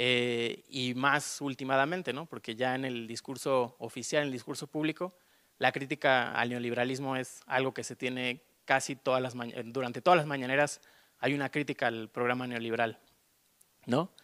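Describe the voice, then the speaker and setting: This man has a bright, sharp tone and fairly even intonation. He keeps a moderate pace against a quiet background. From Mexico, León; Mexico. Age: 30s. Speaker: artist; panelist. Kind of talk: panel discussion. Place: hall. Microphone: handheld.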